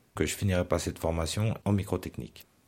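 A man's very deep, low voice delivers his words at an even, moderate tempo. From Geneva, Switzerland. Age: 30s. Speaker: brain injury survivor. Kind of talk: personal testimony.

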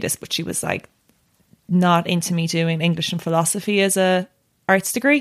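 A woman with a Tipperary accent speaks in a fairly low voice with fairly even intonation. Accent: Irish (Tipperary). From Ireland, County Tipperary. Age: 20s. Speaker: journalist. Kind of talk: casual chat. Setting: studio.

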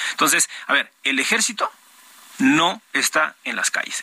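The man's voice sounds dry and close with no echo. Noticeable background noise runs underneath. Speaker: politician. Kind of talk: political debate.

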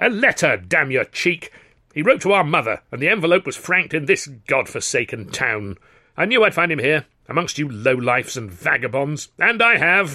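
A man does a put-on character voice at a fairly high pitch, with a bright, sharp tone. His pitch swings widely, and his pace is moderate.

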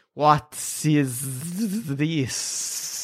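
Put-on character voice at a low-to-middle pitch. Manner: hissing, slurred.

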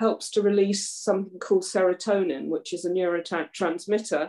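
A woman's dark, mellow tone in a southern English accent. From Surrey, southeast England. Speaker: charity volunteer organiser. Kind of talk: casual interview.

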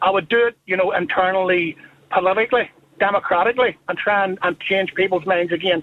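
Fairly quick speech with a Northern Irish accent. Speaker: caller. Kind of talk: radio phone-in.

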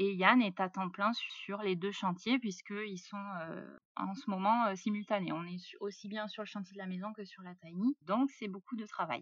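Speech comes at a fairly slow pace, with big swings in loudness and ordinary pitch variation. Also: woman. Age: 30s. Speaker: self-builder of a tiny house. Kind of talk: interview. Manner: hesitant, many fillers.

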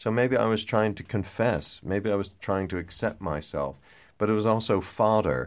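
Speaking at a moderate pace, a man uses a fairly low voice with vocal fry and ordinary pitch variation. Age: 50s. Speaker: novelist and TV writer. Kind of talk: interview.

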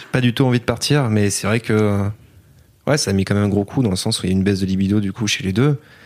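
At a very fast pace, a man with a fairly low pitch and ordinary pitch variation is heard in a very clean recording with a silent background. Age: 20s. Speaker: retail worker. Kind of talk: interview.

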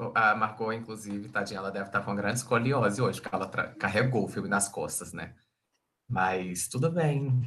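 A man talks at a fairly quick pace in a bright, sharp tone with ordinary pitch variation. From Brazil, Minas Gerais. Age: 20s. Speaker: advertising and communications professional. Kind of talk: casual chat.

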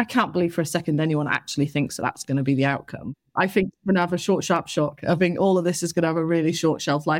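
A woman with a fairly low voice talks at a very fast pace, with hardly any pauses and very even loudness. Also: ordinary pitch variation. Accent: Northwest English. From northern England, Salford. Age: 30s. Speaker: local councillor. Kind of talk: interview. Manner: animated.

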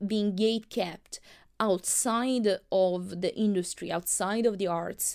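Spoken with a strong non-native accent at a fairly slow pace and fairly even intonation, the recording is very clean with a silent background. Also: woman. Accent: thick non-native. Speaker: podcast host, filmmaker. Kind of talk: solo podcast monologue. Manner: hesitant, many fillers.

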